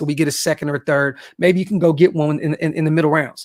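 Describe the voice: A man with a fairly high pitch at a fairly quick pace, with fairly even intonation.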